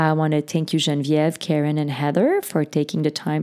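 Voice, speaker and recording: A fairly quick pace and a dark, mellow tone in a Quebec accent. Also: woman. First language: French. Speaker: podcast host. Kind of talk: casual chat. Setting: studio.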